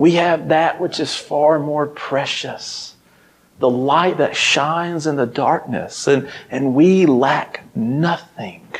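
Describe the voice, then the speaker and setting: A man in a Southern US accent, with ordinary pitch variation and a very slow pace. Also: fairly high pitch for a man. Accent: Southern American. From Mississippi, USA. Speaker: ministry intern, preacher. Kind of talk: sermon. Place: church. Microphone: lapel.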